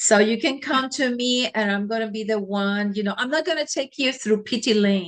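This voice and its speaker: An unremarkable speaking voice from a woman, fairly high in pitch, with lively intonation at a moderate pace. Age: 60s. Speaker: physician and holistic healer. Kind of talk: interview.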